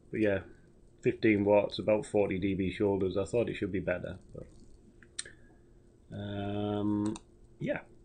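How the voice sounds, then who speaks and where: Mumbling in a British accent, the speaker has a dark, mellow tone and monotone, flat intonation, and moves at a fairly slow pace with long, frequent pauses. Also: man, fairly low pitch for a man. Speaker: amateur radio operator. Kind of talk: radio net check-in report.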